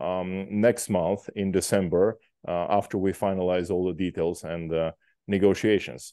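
A man with a plain, everyday voice speaks at a fairly low pitch and a fairly slow pace over a quiet background. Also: dry sound with no echo. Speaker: event host, moderator. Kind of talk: formal introduction of a guest speaker.

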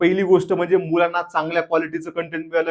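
A man with a fairly high voice speaks in a flat monotone. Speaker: activist and former government employee. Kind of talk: video monologue. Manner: impassioned.

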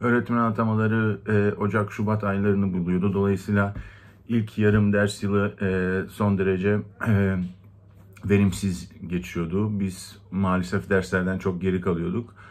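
Speaking in a Greek accent, a man uses a fairly low pitch and a monotone, flat intonation. His loudness stays very even and his pace is fairly slow. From Turkey, Istanbul Greek (Rum) minority. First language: Greek (speaking Turkish). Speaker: community member. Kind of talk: personal testimony. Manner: hesitant, many fillers. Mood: calm, reflective. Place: home room. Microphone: phone near.

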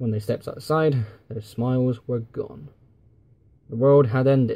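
A man speaks with a dark, mellow tone and fairly even intonation. His voice is somewhat breathy. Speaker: YouTuber and fan fiction writer. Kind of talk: scripted narration.

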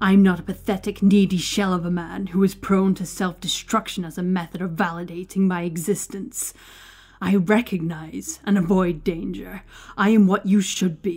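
A woman in a put-on character voice hisses in a furious tone at a moderate pace and medium pitch, on a very clean recording with a silent background. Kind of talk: sharp, self-assured tirade. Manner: furious, spiteful hissing.

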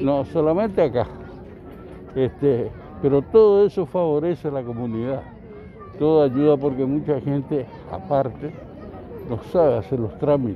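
Crowd noise sits behind a man whose fairly high voice carries lively intonation. He speaks at a fairly slow pace with long, frequent pauses, and the sound is dry with no echo. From Argentina. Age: 70s. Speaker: local resident. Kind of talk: street interview. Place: open country. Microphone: handheld.

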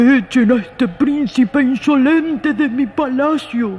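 A put-on character voice at high pitch moves at a fairly slow pace over clear background noise. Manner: angry, commanding.

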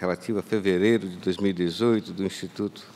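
Fairly low male voice with ordinary pitch variation, delivered at a fairly slow pace. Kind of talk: formal legal opinion. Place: hall. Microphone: podium.

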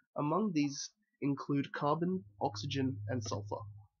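The voice is somewhat breathy, with a quiet background. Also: man. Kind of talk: educational presentation narration.

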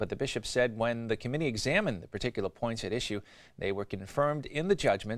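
Over a quiet background, a man rattles along at a very fast pace. His fairly low pitch has ordinary variation. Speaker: news anchor. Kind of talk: news reading. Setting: studio. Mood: calm formal delivery. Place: studio. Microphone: lapel.

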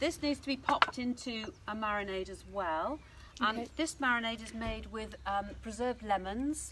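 A woman speaks with ordinary pitch variation and big swings in loudness. Background noise is noticeable. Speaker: cooking demonstrator. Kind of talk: tutorial. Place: garden.

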